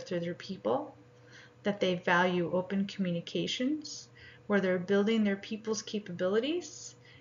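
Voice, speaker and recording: A somewhat breathy woman's voice at medium pitch, with lively intonation. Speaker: graduate student presenting coursework. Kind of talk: scripted presentation.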